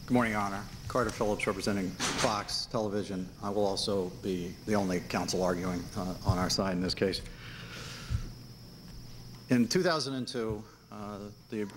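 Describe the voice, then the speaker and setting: Noticeable background noise runs under a man speaking at a moderate pace. His intonation is fairly even, with long, frequent pauses. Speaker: attorney arguing a case. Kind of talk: courtroom oral argument. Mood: formal, measured. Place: hall. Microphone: podium.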